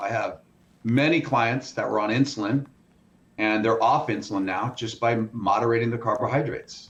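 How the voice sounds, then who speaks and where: Somewhat breathy, a man with a medium pitch and ordinary pitch variation speaks at a moderate pace. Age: 60s. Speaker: food scientist and fitness business owner. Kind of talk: interview. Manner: animated.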